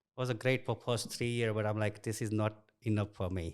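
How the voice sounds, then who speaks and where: A man with an Indian accent speaks with ordinary pitch variation. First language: Indian language. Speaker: construction executive. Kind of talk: interview. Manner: casual.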